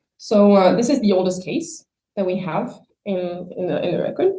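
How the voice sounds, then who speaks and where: Somewhat breathy, a woman speaks at a medium pitch with a dark, mellow tone and lively intonation. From France. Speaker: palaeontologist. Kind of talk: scientific talk.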